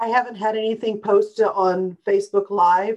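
Speaking at a moderate pace, the woman keeps her intonation monotone and flat. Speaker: webinar co-host reading questions.

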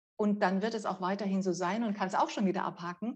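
Her voice sounds somewhat breathy. The woman's pitch is medium. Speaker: communication coach. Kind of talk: interview. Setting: video call. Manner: articulate.

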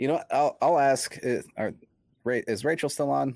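Pitch varies an ordinary amount in this very clean recording with a silent background. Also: man. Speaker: homebrewer. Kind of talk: casual chat.

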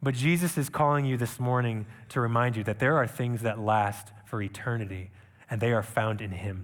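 A man of medium pitch at a moderate pace, with ordinary pitch variation and audible room echo. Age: 30s. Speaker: missionary preacher. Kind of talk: sermon. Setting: church.

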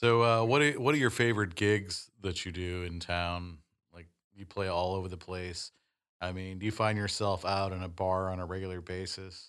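A man speaks with a very deep, low pitch and fairly even intonation, his loudness swinging widely. The recording is very clean, with a silent background. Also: moderate pace. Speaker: co-host. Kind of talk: casual interview chat.

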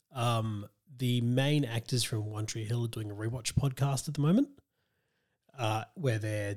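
A man with an Australian accent talks at a fairly quick pace. His medium-pitched voice is somewhat breathy. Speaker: podcast host. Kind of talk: casual chat. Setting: video call from home.

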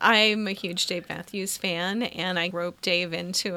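A woman's medium-pitched voice, flat and monotone, over noticeable background noise. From Arkansas, farm. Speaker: part-time library worker. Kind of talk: casual chat. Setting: in the local library.

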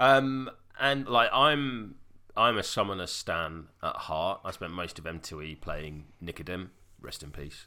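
A man with a British accent, fairly low in pitch and bright and sharp in tone, fairly slow, with very wide pitch swings and big swings in loudness, on a very clean recording with a silent background. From Wales. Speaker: tabletop gaming podcaster. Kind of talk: casual chat.

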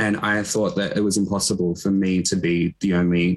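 Moderate pace and ordinary pitch variation, with an Australian accent. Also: man. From Echuca, Victoria, Australia. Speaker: LGBTQ organisation worker. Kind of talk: casual interview chat. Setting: video call, working remotely.

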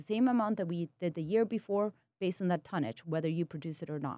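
A woman speaks with a Spanish accent and lively intonation. The recording is very clean, with a silent background. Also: dry, close sound with no echo. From Peru. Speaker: spirits company co-founder. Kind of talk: casual interview. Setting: studio.

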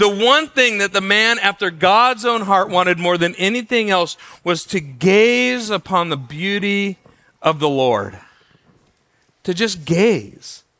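A man speaks loudly at a fairly slow pace, his intonation lively. His tone is bright and sharp. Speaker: pastor. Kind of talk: sermon. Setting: church. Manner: halting.

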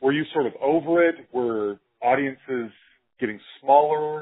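A man with an American accent has an ordinary speaking voice. It sits fairly high in pitch, with lively intonation. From Utah, US. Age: 40s. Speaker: podcast host. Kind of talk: interview.

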